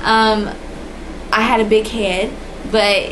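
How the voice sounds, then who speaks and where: A soft-spoken woman talks at a fairly high pitch. Audible room echo and noticeable background noise surround her voice. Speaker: vlogger. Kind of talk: personal testimony. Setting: indoors, dim room.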